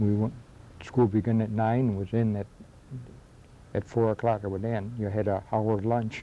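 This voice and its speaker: With an American accent, a man speaks in a fairly low, dark, mellow voice with monotone, flat intonation and long, frequent pauses. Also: moderate pace. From western New York, Akron area. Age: old. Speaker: local history interviewee. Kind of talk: oral history interview. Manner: halting.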